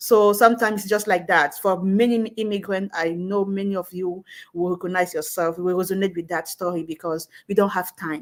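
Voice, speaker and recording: Using a Cameroonian accent, a woman at medium pitch talks at a fairly quick pace with hardly any pauses and fairly even intonation. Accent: Cameroonian francophone English. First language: French. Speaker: network marketing entrepreneur. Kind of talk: live stream interview.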